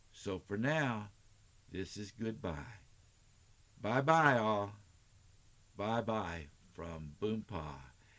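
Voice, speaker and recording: A man with an American accent and a fairly low pitch speaks at a very slow pace with long, frequent pauses. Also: lively intonation. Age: 70s. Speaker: storyteller grandfather, retired teacher. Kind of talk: reading aloud to children. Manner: warm, affectionate.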